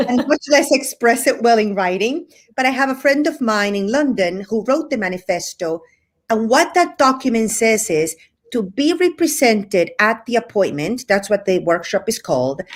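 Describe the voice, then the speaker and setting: Speaking at a moderate pace with a Cuban accent, a woman uses a fairly high voice with very wide pitch swings. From Spain, with Cuban family ties. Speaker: hotel representation business owner. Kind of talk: casual interview chat. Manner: animated.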